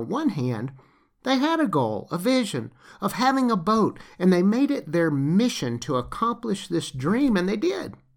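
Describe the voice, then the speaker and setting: With a slight Southern US accent, a man speaks at a moderate pace with very wide pitch swings in a very clean recording with a silent background. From US South, Lower Alabama. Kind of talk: scripted narration. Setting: home recording.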